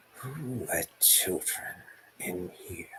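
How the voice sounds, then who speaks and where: Putting on a character voice, a man growls in a raspy tone at medium pitch. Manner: menacing, disdainful.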